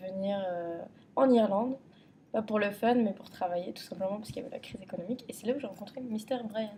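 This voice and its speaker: Against noticeable background noise, a woman with a Parisian accent speaks at a fairly high pitch with ordinary pitch variation. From Paris region, France. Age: 20s. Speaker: contestant applicant. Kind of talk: casual chat.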